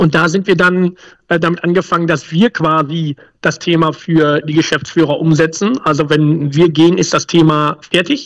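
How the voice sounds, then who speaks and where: A man's high-pitched voice. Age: 40s. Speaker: emergency planning consultant. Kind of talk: casual interview.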